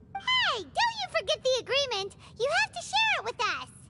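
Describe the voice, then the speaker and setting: A squeaky, put-on character voice at an extremely high pitch and a moderate pace, over loud background noise. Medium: video game. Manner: excitable, quick.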